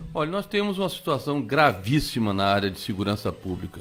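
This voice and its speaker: Here a man talks at a medium pitch. His voice rises and falls very widely. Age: 60s. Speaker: politician. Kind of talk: radio interview.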